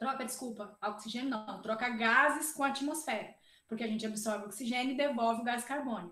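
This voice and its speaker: The voice has a bright, sharp tone, moving at a fairly quick pace with fairly even intonation. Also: woman, high pitch for a woman. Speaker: biophysics professor. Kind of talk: lecture.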